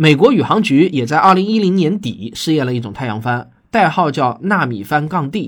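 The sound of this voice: A man with a fairly high voice talks at a fairly quick pace with lively intonation.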